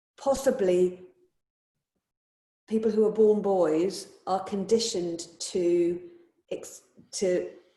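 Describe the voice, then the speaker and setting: A woman's medium-pitched voice with a dark, mellow tone, ordinary pitch variation, a very slow pace and audible room echo. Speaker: yoga teacher. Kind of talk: casual chat.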